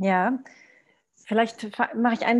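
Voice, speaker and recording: A somewhat breathy, fairly high-pitched woman's voice at a moderate pace, with fairly even intonation. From Portugal. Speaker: social entrepreneur. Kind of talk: panel discussion. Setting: video call.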